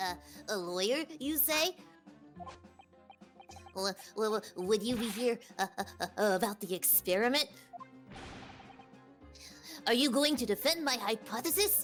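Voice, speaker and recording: A put-on character voice, female-sounding and fairly high in pitch, moves at a moderate pace with long, frequent pauses. Clear music plays in the background. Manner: hesitant, stammering.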